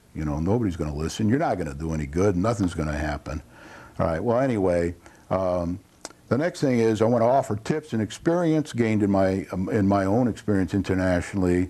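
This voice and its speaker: With an American accent, a man talks at a very fast pace in a very deep, low voice over noticeable background noise. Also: lively intonation. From Connecticut, Torrington. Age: 70s. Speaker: local TV host, retired business executive. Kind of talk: talk show monologue. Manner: halting.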